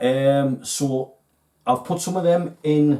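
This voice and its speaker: A man's dark, mellow tone in a strong Geordie accent. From northern England, Newcastle (Geordie). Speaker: fishing tackle video host. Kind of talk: casual video talk to viewers.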